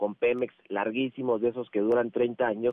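A man talks with a plain, everyday voice. His pitch is medium and his pace moderate. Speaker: financial columnist. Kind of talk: interview commentary.

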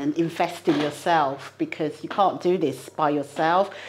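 A woman talks in a plain, everyday voice, fairly low in pitch. Her pace is moderate and her intonation fairly even. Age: 40s. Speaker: property investor and project manager. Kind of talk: interview. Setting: studio.

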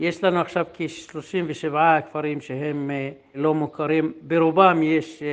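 Very slow delivery with fairly even intonation. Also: man. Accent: Arabic. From Negev Bedouin, Israel. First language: Arabic (speaking Hebrew). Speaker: field coordinator. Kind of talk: interview.

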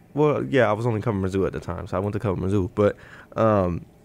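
A man talks at a very fast pace with an American accent. His pitch varies in an ordinary way, and the recording is very clean with a silent background. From Chicago. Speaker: sports writer covering college basketball. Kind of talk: casual sports podcast chat.

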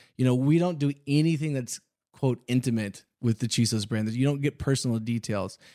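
A man's dark, mellow tone in a very clean recording with a silent background. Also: medium pitch for a man, ordinary pitch variation, fairly quick pace. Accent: American. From Texas, Houston. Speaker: boot company founder. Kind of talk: interview. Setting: studio.

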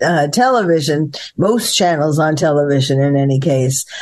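A woman speaking at a fairly slow pace. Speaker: psychiatrist and podcaster. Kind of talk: interview. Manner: hesitant, many fillers.

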